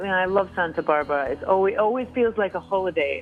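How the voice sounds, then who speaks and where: Over music in the background, a speaker with a Scottish accent talks at a very fast pace. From Scotland. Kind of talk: casual, conversational.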